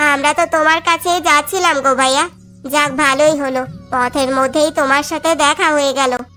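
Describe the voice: A woman's high-pitched, cartoonish character voice at a moderate pace, with very even loudness, fairly even intonation and clear background noise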